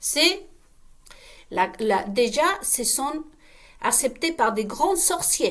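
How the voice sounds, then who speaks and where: Using a non-native accent, a woman speaks at a very slow pace with long, frequent pauses, her high pitch making very wide swings. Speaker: online video creator. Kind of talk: casual monologue to viewers. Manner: halting, with many repetitions; animated, uses gestures.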